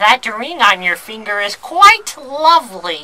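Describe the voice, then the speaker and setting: A female-sounding put-on character voice, fairly high in pitch, at a fairly slow pace. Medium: audio drama. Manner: theatrical, wheedling.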